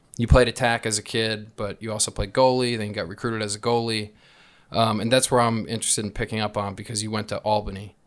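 The speech is very fast and monotone, with flat intonation, on a very clean recording against a silent background. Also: man, fairly low pitch for a man. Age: 30s. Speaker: podcast host and lacrosse player. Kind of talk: casual chat.

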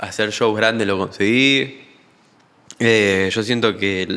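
Intonation remains fairly even throughout. The delivery is very slow. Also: man. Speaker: musician. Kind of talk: casual chat.

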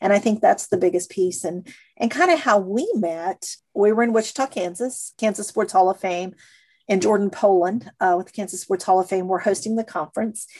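A woman with an American accent talks in a normal speaking voice at a medium pitch and a fairly quick pace, with ordinary pitch variation. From Missouri. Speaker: sports museum president. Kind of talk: interview.

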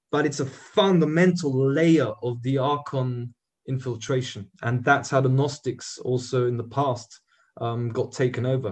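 At a moderate pace, the speaker uses ordinary pitch variation in a somewhat breathy voice. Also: man, medium pitch for a man. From Austria. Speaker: activist. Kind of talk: interview. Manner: direct, pointed.

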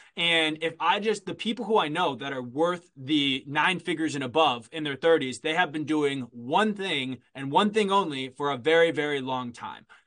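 This man has an unremarkable speaking voice, pitched fairly high, with ordinary pitch variation. He talks at a moderate pace. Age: 30s. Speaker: digital marketing agency founder. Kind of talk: interview.

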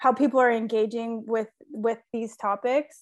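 Fairly high-pitched woman in a Californian accent, fairly even intonation, quiet background. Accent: Californian American. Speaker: sustainability manager and podcast co-host. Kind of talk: casual interview.

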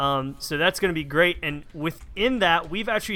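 A man with a plain, everyday voice talks at a fairly quick pace in a fairly high pitch. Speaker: podcast co-host. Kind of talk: casual chat.

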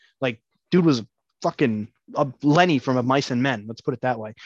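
In an ordinary speaking voice, a man talks at a fairly quick pace. The sound is dry and close with no echo, over a quiet background. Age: 30s. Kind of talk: casual chat.

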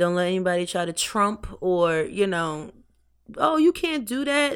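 A woman speaks at a fairly slow pace with very wide pitch swings, on a very clean recording with a silent background. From Brooklyn, New York, raised in Hampton Roads, Virginia. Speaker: lingerie designer and business owner. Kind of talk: casual interview.

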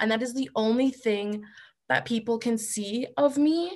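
Someone with a Canadian accent talks at a very slow pace with ordinary pitch variation. The background is quiet. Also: woman. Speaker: body image advocate. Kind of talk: roundtable discussion.

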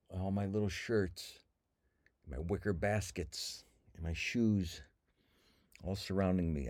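In a very clean recording with a silent background, a man with an American accent speaks at a fairly slow pace, his voice very deep and low with a dark, mellow tone and lively intonation. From Cleveland, Ohio, US. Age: 60s. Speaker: comedian and podcast host. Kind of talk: casual solo monologue. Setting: lying on floor in a walk-in closet.

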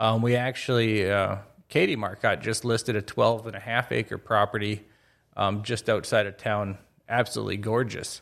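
A man's fairly low voice with an American accent, monotone and flat in intonation, at a moderate pace. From northwest Minnesota, Crookston. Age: 30s. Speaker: real estate agent, retired military. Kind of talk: casual interview.

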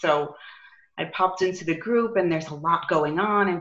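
With a New York accent, a woman speaks at a moderate pace in a fairly low pitch with ordinary pitch variation. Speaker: business coach. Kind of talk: casual interview.

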